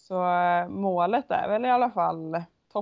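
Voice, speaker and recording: A woman speaks at a medium pitch. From western Sweden, Onsala, Kungsbacka. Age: 20s. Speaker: Icelandic horse rider. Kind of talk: interview. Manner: hesitant, many fillers.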